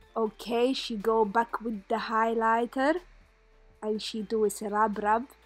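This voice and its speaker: Music plays behind a playful tone delivered in a monotone, flat intonation. The pace is fairly slow. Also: woman, fairly high pitch for a woman. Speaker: friend narrating a makeup video. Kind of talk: comedic voice-over narration. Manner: playful, joking.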